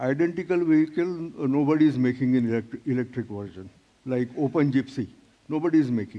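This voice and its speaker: A man's voice with a dark, mellow tone, medium pitch, ordinary pitch variation and a fairly quick pace. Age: 70s. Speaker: startup founder. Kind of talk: startup pitch Q&A.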